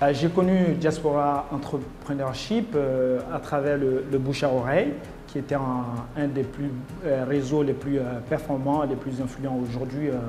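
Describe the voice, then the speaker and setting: Noticeable background noise and audible room echo surround a man who talks at a fairly slow pace with a fairly high pitch. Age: 30s. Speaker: entrepreneur, competition candidate. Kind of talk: interview testimony. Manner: halting, many hesitations.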